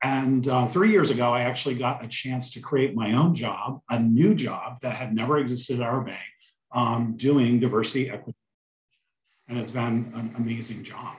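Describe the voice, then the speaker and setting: A man speaks at a moderate pace and medium pitch. His voice carries audible room echo. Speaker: bank human resources executive. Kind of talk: career panel talk. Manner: loud; animated.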